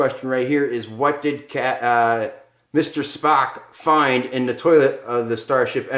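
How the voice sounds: The speaker reads in a natural voice.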